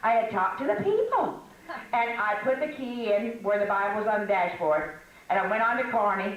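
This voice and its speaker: With an American accent, a woman talks at a fairly quick pace in a fairly high voice at very even loudness, over noticeable background noise. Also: ordinary pitch variation. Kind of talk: casual humorous teaching talk to an audience. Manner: chatty, humorous, storytelling.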